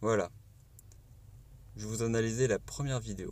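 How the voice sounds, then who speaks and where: Speaking with a southern French accent, a man keeps a medium pitch, fairly even intonation and a moderate pace. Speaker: YouTuber. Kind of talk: reaction commentary.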